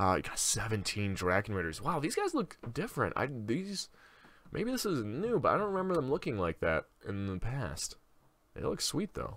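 A man with vocal fry talks at a moderate pace and a fairly high pitch, with very wide pitch swings. The recording is very clean, with a silent background. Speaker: gaming YouTuber. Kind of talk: gameplay commentary. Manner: casual, profane.

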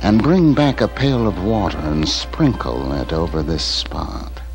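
Over clear music in the background, a man in a put-on character voice speaks low and fairly slowly, with big pitch swings.

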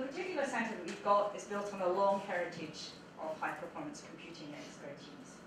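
A woman at a very fast pace, with noticeable background noise and audible room echo. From Scotland. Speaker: supercomputing centre director. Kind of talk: conference talk. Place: classroom.

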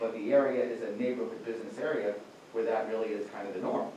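A man speaks at a very fast pace, with audible room echo and light background noise. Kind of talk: explaining case at public meeting. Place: meeting room. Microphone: camera far.

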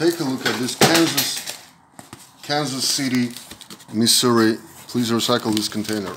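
Amid audible room echo, a man at a medium pitch speaks at a moderate pace with fairly even intonation and a fairly bright tone.

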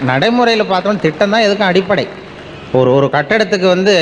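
This man talks at a high pitch, varying it in an ordinary way, while noticeable background noise carries on. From Tamil Nadu, India. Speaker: public speaker. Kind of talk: public speech to an audience. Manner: humorous storytelling, colloquial.

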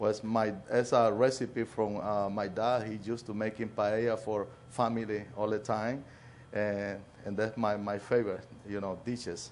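Over light background noise, a man talks at a moderate pace in a fairly low voice with monotone, flat intonation. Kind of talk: interview answer. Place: cafe. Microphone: lapel.

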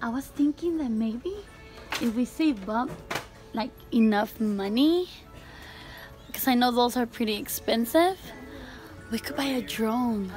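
Clear music plays in the background as a woman speaks in a high voice. Her pace is fairly slow, with long, frequent pauses. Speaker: vlogger. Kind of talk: casual vlog chat. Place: shop. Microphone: phone near.

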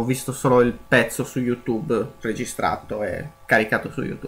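At a moderate pace, a man speaks at medium pitch with noticeable background noise behind him. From Sardinia, Italy. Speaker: gaming youtuber. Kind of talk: let's play commentary.

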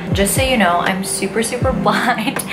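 A woman speaking at a moderate pace over music in the background. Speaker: beauty vlogger. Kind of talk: casual vlog chat. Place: home room. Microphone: phone near.

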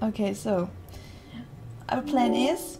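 A woman's very slow speech with a German accent, set against loud background noise. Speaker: gamer streamer. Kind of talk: gaming commentary. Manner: calm, explaining. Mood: tense, slightly nervous.

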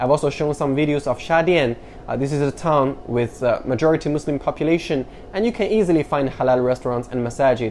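Over light background noise, a man talks at a very fast pace with a fairly high pitch and ordinary pitch variation. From China. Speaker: YouTuber; educational vlogger. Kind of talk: educational talk to camera. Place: home room. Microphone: lapel.

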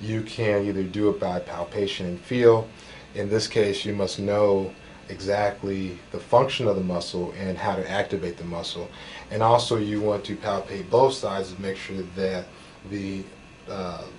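Fairly low male voice at a moderate pace, fairly even intonation, light background noise. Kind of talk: medical demonstration. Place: office.

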